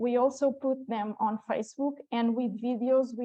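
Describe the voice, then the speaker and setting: At a moderate pace, a woman talks in a normal speaking voice, her intonation fairly even. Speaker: public health communicator. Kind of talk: conference presentation; Q&A answer.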